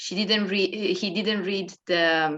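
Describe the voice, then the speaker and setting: Her pace is very slow and her intonation fairly even. The woman has a non-native accent and a medium pitch. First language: not English. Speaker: dance workshop participant. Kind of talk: group discussion. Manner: hesitant, many fillers.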